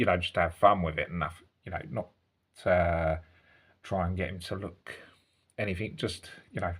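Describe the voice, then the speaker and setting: A somewhat breathy man with a very deep, low voice at a moderate pace, on a very clean recording with a silent background. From Britain. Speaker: toy collector YouTuber. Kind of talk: product review. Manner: halting, many fillers.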